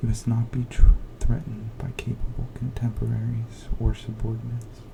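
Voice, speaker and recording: Soft-spoken talk at a moderate pace over noticeable background noise. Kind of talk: ASMR soft-spoken book reading to help sleep.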